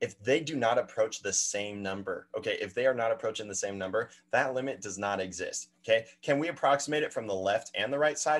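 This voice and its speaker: A man talks at a fairly quick pace in a medium pitch. The background stays quiet. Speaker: math instructor. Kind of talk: lecture. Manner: fast.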